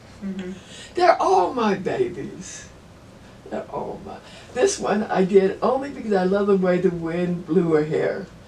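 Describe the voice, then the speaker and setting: A woman speaks at a fairly slow pace with big swings in loudness. Noticeable background noise runs underneath. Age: old. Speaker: artist. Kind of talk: interview answer.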